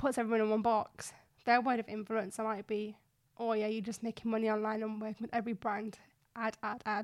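Monotone, flat intonation in a Yorkshire accent. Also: woman, fairly high pitch for a woman, fairly quick pace. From West Yorkshire, Bradford. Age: 20s. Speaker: fashion blogger and influencer. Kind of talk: interview.

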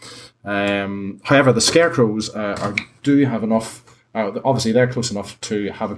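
Ordinary pitch variation in plain reading aloud

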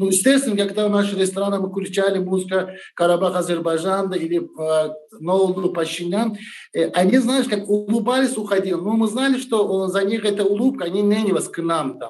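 Here a man with a high pitch speaks at a fairly quick pace, using ordinary pitch variation. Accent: Turkish. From Turkey. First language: Turkish (speaking Russian). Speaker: restaurant owner. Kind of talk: interview.

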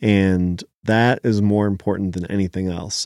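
Dry and close with no echo, a man's normal speaking voice moves at a fairly slow pace, with a fairly low pitch and fairly even intonation. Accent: American. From Philadelphia area, US. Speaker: chef and restaurant owner. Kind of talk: interview.

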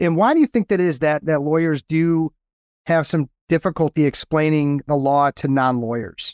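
A man with a normal speaking voice talks at a moderate pace, his fairly high pitch showing ordinary variation. The recording is very clean with a silent background and a dry, close sound with no echo. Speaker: podcast host and lawyer coach. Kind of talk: casual interview chat.

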